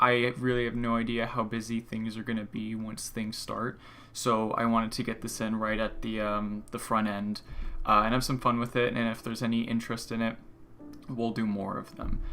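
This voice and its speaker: A man speaks in a monotone, flat manner with a bright, sharp, medium-pitched voice over light background noise. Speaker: student running an animation workshop; lecturer. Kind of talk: livestream workshop presentation. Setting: livestream with music playing. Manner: fast. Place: home room. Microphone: earbuds.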